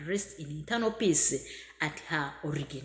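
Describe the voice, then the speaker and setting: This voice has a bright, sharp tone in a Ugandan accent. Its pitch variation is ordinary. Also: woman. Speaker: migrant worker. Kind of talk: video message. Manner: halting.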